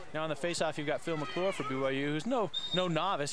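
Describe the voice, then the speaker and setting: An ordinary speaking voice from a man, fairly high in pitch, at a fairly quick pace. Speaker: play-by-play announcer. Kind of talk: live sports commentary. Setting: broadcast booth at outdoor field. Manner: fast, clipped play-by-play calls.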